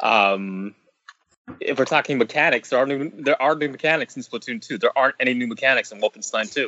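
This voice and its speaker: Fairly high in pitch, this man has a plain, everyday voice. He talks at a fairly quick pace with lively intonation. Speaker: video game podcast panelist. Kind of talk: casual chat.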